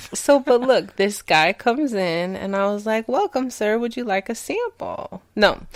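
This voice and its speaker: A woman speaks fairly slowly at a fairly high pitch with lively intonation. The sound is dry and close with no echo, though background noise is noticeable. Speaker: chocolate seller, podcast guest. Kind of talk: casual chat. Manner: stumbles over words.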